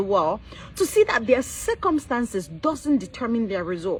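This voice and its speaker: A woman speaks in an animated tone at a moderate pace over noticeable background noise. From Cameroon. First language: not English. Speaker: business coach. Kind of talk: motivational livestream talk. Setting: live stream.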